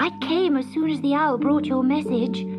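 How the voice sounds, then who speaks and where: Loud music plays in the background as a woman talks at a moderate pace in a put-on character voice. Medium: read story. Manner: earnest, gentle.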